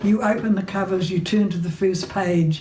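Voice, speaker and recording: A woman's medium-pitched voice, fairly slow and fairly even in intonation, with audible room echo and noticeable background noise. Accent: New Zealand. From New Zealand, Hawke's Bay. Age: 90s. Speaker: playwright and novelist. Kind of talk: recorded interview monologue. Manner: hesitant with fillers.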